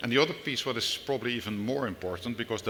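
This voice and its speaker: With a Dutch accent, a man speaks in a bright, sharp tone with ordinary pitch variation. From Netherlands. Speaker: business executive. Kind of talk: panel discussion. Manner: halting, many fillers.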